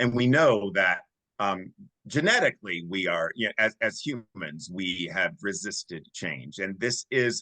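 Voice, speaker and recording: A man's fairly low, bright and sharp voice, fairly slow and with lively intonation, in a dry, close sound with no echo. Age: 60s. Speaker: diversity and inclusion consultant. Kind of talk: podcast discussion.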